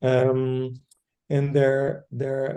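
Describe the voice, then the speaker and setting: A man's medium-pitched voice with a Dutch accent and a dark, mellow tone. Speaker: educator. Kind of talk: group discussion. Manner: halting.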